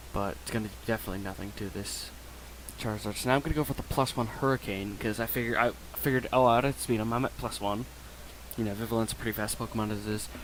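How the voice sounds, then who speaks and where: A man with a fairly low pitch talks at a very fast pace with fairly even intonation. Noticeable background noise can be heard. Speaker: gaming YouTuber. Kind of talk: gameplay commentary. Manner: casual.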